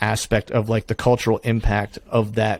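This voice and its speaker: In a Pennsylvania accent, a man speaks at a moderate pace with medium pitch and monotone, flat intonation, the sound dry and close with no echo. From Pennsylvania, US. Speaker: hunting podcast host. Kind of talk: casual interview chat.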